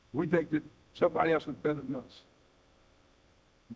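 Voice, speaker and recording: A man speaks at a fairly high pitch. His voice carries vocal fry. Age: 90s. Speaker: preacher. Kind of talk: sermon. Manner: halting.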